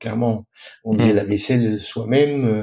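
At a fairly slow pace, a man talks with medium pitch and fairly even intonation. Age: 50s. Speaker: sailor. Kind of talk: interview. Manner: halting.

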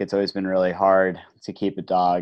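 In an American accent, a man talks at a very deep, low pitch. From New Jersey. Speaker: head of marketing, author. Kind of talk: casual interview.

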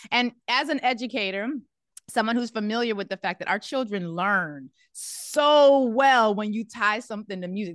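Speaking fairly quickly with lively intonation, a woman uses a plain, everyday voice in a dry, close sound with no echo. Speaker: radio host. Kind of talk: interview. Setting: studio.

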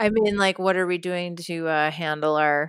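A woman with a plain, everyday voice speaks with an American accent at a fairly slow pace and with fairly even intonation. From New York. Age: 40s. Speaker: comedian and TV writer. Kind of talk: casual interview. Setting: remote call from home.

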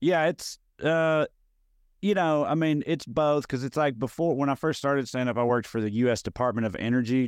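A man with a Tennessee accent speaks in an intense tone with lively intonation. The sound is dry and close, with no echo. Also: quiet background. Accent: Southern US (Tennessee). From rural Middle Tennessee, US South (Clay County). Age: 30s. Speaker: stand-up comedian. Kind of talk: casual interview chat. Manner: can sound combative or intense.

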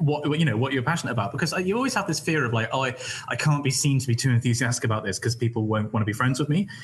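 With very even loudness and ordinary pitch variation, a man speaks at a very fast pace over noticeable background noise. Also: medium pitch for a man. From West Country, England. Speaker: PhD student, YouTuber, stream host. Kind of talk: casual chat, live Q&A.

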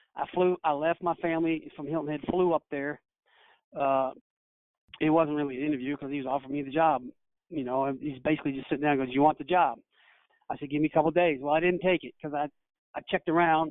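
A man with a fairly high pitch and fairly even intonation, at a very fast pace broken by long, frequent pauses. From Kentucky. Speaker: high school basketball coach. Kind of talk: interview storytelling.

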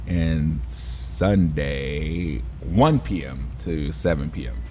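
A man speaks very slowly at a very deep, low pitch with lively intonation. The recording has audible room echo and noticeable background noise. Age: 50s. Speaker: personal trainer. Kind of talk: casual chat.

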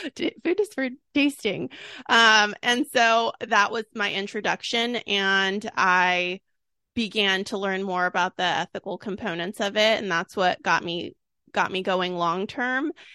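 Bright and sharp in tone, this voice with an American accent moves at a fairly slow pace with ordinary pitch variation, in a dry, close sound with no echo against a quiet background. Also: woman, medium pitch for a woman. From California, Sacramento. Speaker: food blogger and cookbook author. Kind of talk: casual interview.

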